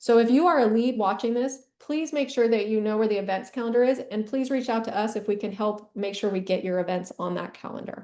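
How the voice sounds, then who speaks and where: A woman talks at a fairly quick pace in a fairly high voice with a dark, mellow tone. Her pitch variation is ordinary. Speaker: education administrator presenting a session. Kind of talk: conference presentation. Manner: fast.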